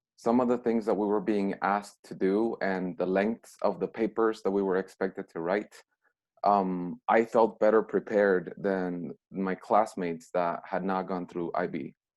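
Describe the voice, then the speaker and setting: A man with a Mexican accent, fairly low in pitch, at a moderate pace and with fairly even intonation. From Mexico. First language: Spanish. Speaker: former student, alumni speaker. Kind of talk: video call talk to students.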